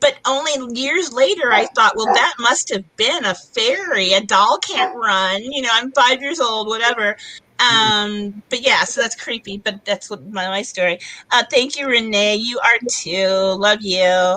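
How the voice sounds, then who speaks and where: At a fairly slow pace, a woman with a slight Californian accent speaks at a fairly high pitch with lively intonation. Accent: slight California. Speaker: podcast host interviewing an author. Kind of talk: casual live-stream chat.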